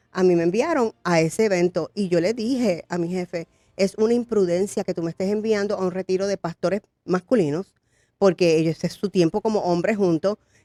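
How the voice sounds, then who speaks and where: A woman talks at a fairly quick pace in a dark, mellow tone with ordinary pitch variation and a dry, close sound with no echo. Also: medium pitch for a woman. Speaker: pastor and congressional candidate. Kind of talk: interview testimony. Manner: fast.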